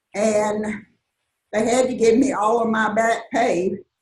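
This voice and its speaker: A woman in a Southern US accent, fairly high-pitched and somewhat breathy, at a very slow pace. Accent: Southern US (Georgia). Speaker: retired college teacher. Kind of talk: talk to a live audience. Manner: conversational, with many fillers.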